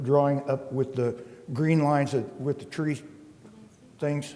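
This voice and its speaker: Against noticeable background noise, a man with a fairly high pitch speaks at a fairly slow pace. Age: 70s. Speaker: property developer petitioner. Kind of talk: public hearing testimony. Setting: public meeting. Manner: halting.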